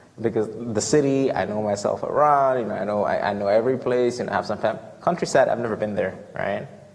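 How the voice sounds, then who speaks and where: Over noticeable background noise, a man with an American accent and a medium pitch speaks at a very fast pace with ordinary pitch variation. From Ghana. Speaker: student returning from a mission trip. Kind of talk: Q&A after a talk. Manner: halting, many fillers and repetitions.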